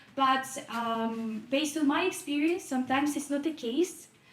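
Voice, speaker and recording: This woman's voice sits high. Her pitch moves with ordinary variation. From Ukraine. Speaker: audience member, volunteer advocate. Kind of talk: audience question at panel discussion. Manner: halting, with fillers.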